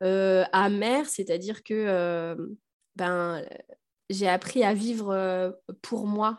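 Pausing long and often, a woman speaks at a very slow pace and a medium pitch with fairly even intonation. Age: 30s. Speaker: primary school teacher and mother. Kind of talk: personal testimony in interview.

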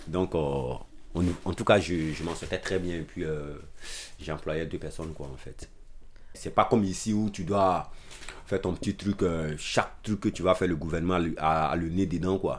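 A man speaks with a very deep, low pitch and fairly even intonation. He leaves long, frequent pauses in a very clean recording with a silent background. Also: fairly slow pace. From Ivory Coast, Abidjan. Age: 30s. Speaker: asylum seeker and care worker. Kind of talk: personal testimony interview. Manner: halting.

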